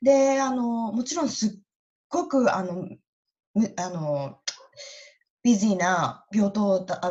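A woman with a medium-pitched, dark and mellow voice, somewhat breathy, swings her pitch very widely and leaves long, frequent pauses. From Japan, Iwate. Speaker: nurse. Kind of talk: interview.

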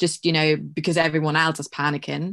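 A woman speaks in a fairly low, monotone, flat voice. The background is quiet. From Germany. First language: German. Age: 20s. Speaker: university student. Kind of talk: casual chat.

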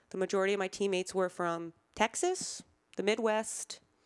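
An ordinary speaking voice with an American accent, moving at a moderate pace. The recording is very clean and dry, close with no echo, over a silent background. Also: woman. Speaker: cancer survivor, former college athlete. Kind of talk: interview.

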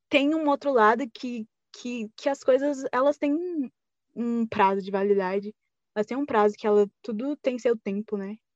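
Fairly high pitch from a woman, with ordinary pitch variation, dry and close with no echo, over a quiet background. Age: 20s. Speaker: fanfiction writer. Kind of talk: interview.

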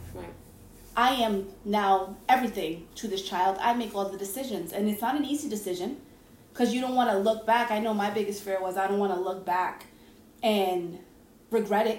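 A fairly high-pitched woman at a moderate pace, with ordinary pitch variation and audible room echo. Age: 30s. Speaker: podcast host. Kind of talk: casual chat.

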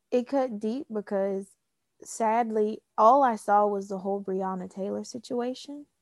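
Here is an ordinary speaking voice with an American accent, fairly even intonation, and a fairly slow pace. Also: woman, fairly high pitch for a woman, dry, close sound with no echo. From US South. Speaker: podcast co-host. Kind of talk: casual chat.

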